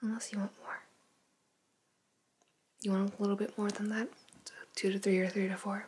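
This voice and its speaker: Soft-spoken whispering at a fairly quick pace, broken by long, frequent pauses. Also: woman. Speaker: ASMR artist doing a haircut role play. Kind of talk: ASMR role play.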